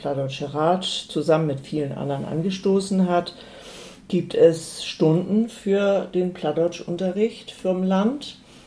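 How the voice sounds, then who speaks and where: A woman's fairly low voice at a very slow pace, with ordinary pitch variation and noticeable background noise. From North Frisia, Eiderstedt peninsula. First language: Low German (speaking German). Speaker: Low German language advocate. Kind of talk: interview. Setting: at home.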